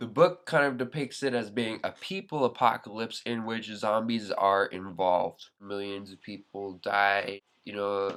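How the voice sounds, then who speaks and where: Speaking at a fairly slow pace with hardly any pauses, a man shows big swings in loudness and ordinary pitch variation. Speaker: vlogger. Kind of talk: casual vlog monologue. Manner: sounds high, not articulate.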